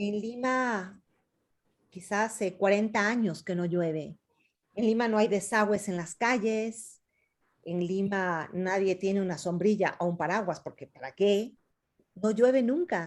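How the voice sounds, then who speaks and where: A woman speaks at a fairly slow pace with a medium pitch. The recording is very clean, with a silent background. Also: ordinary pitch variation. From Ecuador, Quito. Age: 50s. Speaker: novelist. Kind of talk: author talk with students, Q&A. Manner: hesitant, many fillers.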